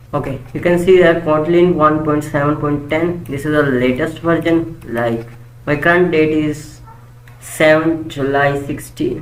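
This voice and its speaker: The talking moves along rather slowly, with clearly audible noise in the background. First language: not English. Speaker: programming tutor. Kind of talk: tutorial. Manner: halting.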